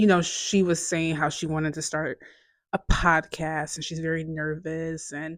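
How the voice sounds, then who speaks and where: Her voice is very deep and low for a woman, captured on a very clean recording with a silent background. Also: moderate pace. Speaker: vlogger. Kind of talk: casual monologue. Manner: casual, many fillers.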